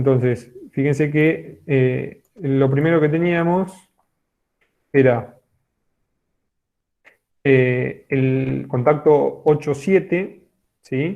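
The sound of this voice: At a very slow pace with long, frequent pauses, a man speaks at medium pitch with vocal fry and ordinary pitch variation.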